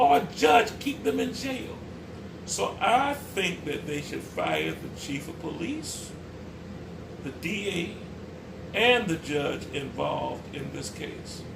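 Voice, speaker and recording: In an American accent, the speaker talks at a very slow pace with long, frequent pauses and big swings in loudness, amid audible room echo and noticeable background noise. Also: man. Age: 60s. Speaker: pastor and community activist. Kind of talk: spoken commentary.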